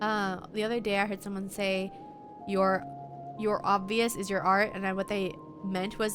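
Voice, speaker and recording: A woman speaks with music in the background. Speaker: streamer. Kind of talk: casual chat. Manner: low energy.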